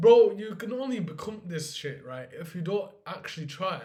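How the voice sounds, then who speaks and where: With a dark, mellow tone, a man speaks at a high pitch and moderate pace, making very wide pitch swings amid audible room echo. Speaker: finance vlogger. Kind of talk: casual vlog monologue. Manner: animated; unscripted, unedited.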